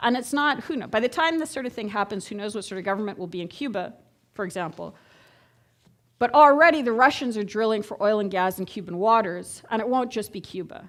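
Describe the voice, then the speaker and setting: A woman with a Canadian accent, fairly high in pitch, talking at a very fast pace with lively intonation and big swings in loudness, in a very clean recording with a silent background. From Canada, Montreal, Quebec. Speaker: geopolitics lecturer. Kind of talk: lecture. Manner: conversational, audience-engaging.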